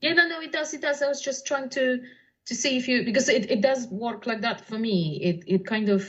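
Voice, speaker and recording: A woman speaks at a fairly quick pace in a Polish accent. Her pitch is high, with lively intonation. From Poland. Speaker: poet and translator. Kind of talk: casual chat.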